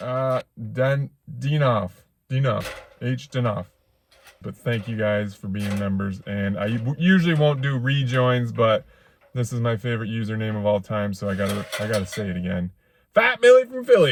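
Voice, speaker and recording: A man talks in an ordinary speaking voice at a medium pitch and moderate pace, with ordinary pitch variation. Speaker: off-grid cabin builder, vlogger. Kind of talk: casual vlog narration. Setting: outdoors at building site. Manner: casual, chatty.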